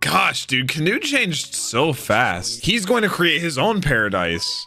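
With faint music in the background, a man speaks at a very slow pace. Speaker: anime reaction creator. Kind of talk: reaction commentary. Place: home room. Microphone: studio mic.

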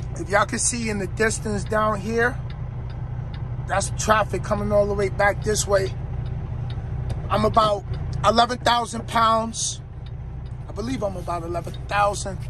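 Noticeable background noise sits behind a man's speech. He leaves long, frequent pauses. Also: moderate pace, dry sound with no echo. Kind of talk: casual vlog chat. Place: car. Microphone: phone near.

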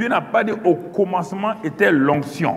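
A man's high voice with lively intonation at a fairly slow pace. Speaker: preacher. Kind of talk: teaching sermon. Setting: church conference with audience. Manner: earnest, didactic; deliberate, emphatic, repeating key phrases. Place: studio. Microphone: lapel.

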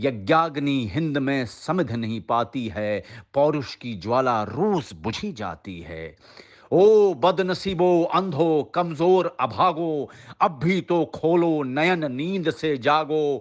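In an ordinary speaking voice, a man talks with lively intonation and a fairly high pitch against a quiet background. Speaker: actor. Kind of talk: poetry reading.

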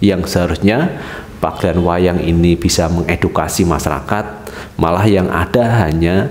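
A man at a fairly slow pace, with ordinary pitch variation and light background noise. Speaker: online news commentator. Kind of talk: commentary. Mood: concerned, critical. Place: office. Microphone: headset.

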